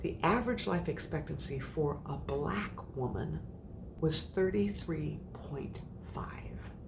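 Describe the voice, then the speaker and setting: A woman speaks very slowly with an American accent. Room echo is audible. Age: 60s. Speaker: menopause coach. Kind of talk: motivational talk. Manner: animated.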